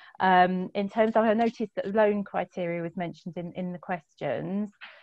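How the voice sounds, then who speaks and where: The woman's voice sits at a medium pitch, with fairly even intonation. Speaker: credit union representative. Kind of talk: panel Q&A answers. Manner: fast.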